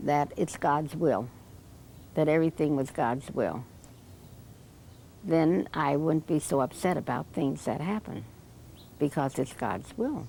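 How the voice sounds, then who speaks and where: A woman's very deep, low voice in an American accent, dark and mellow in tone with vocal fry, ordinary pitch variation, a fairly slow pace and long, frequent pauses. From New Jersey. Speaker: elderly woman telling her life story. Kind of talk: oral history interview.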